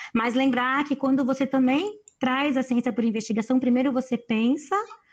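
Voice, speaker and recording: The woman talks at a moderate pace. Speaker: educator speaking to teachers. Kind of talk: online lecture. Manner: animated.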